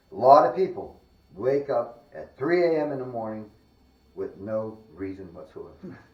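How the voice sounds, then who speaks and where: A man's fairly high voice at a moderate pace, lively in intonation and with big swings in loudness, over noticeable background noise. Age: 60s. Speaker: spiritualist paranormal investigator. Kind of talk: casual walkthrough commentary. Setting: indoors in a house, on camera. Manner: animated.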